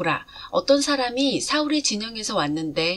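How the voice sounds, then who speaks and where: The speaker is a woman whose pitch rises and falls very widely. She keeps a moderate pace. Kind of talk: scripture reading.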